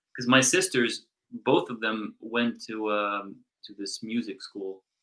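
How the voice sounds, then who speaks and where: Bright, sharp tone with ordinary pitch variation and big swings in loudness. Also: man, medium pitch for a man. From Brazil. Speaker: drummer in a rock band. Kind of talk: casual interview chat. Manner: mumbling.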